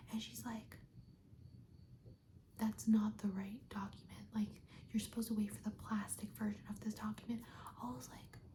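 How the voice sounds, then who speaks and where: Speaking at a moderate pace, a woman talks with an American accent. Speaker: ASMR creator. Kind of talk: ASMR roleplay, soft speaking, casual chat to camera. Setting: video chat roleplay with lo-fi music in background. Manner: soft-spoken, whispering.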